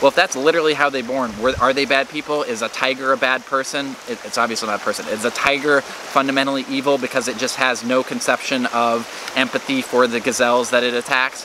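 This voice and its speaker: A man talks at a very fast pace with hardly any pauses, at a medium pitch. His intonation is monotone and flat, over noticeable background noise. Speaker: political commentary youtuber. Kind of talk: casual monologue to camera. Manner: halting, self-correcting.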